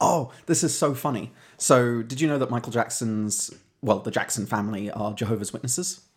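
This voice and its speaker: Here a man speaks with a British accent at a medium pitch. His pace is fairly quick, with ordinary pitch variation. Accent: British, non-rhotic. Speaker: podcast co-host. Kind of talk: casual chat.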